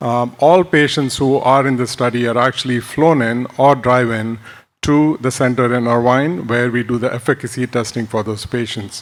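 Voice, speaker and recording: On a very clean recording with a silent background, a man speaks at a medium pitch with fairly even intonation. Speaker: ophthalmologist and biotech clinical development executive. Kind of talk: conference talk. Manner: fast.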